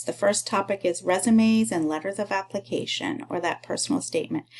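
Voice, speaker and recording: The pace is moderate, in an ordinary speaking voice. Intonation is lively. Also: woman. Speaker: university instructor. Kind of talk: recorded online course overview.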